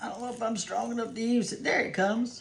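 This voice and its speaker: Audible room echo surrounds a woman who speaks with a Southern US accent, a fairly high pitch and a moderate pace. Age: 70s. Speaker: cooking video host. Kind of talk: cooking tutorial. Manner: casual, chatty.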